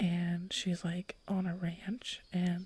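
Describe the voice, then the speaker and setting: Soft-spoken and somewhat breathy, a woman speaks at a medium pitch with a dark, mellow tone and monotone, flat intonation. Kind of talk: soft-spoken ASMR podcast chat.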